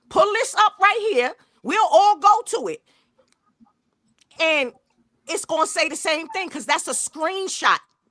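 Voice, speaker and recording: A woman's raised, projected voice at an extremely high pitch, bright and sharp, with very wide pitch swings, a fairly slow pace and long, frequent pauses. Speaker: true crime livestream host. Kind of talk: heated debate. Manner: loud.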